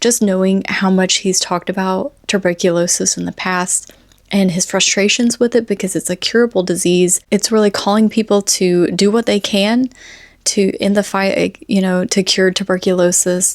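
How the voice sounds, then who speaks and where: With a Southern US accent, a woman speaks at medium pitch and a moderate pace, her intonation fairly even, in a dry, close sound with no echo. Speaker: book vlogger. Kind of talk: casual vlog review. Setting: sitting on the floor by camera charger.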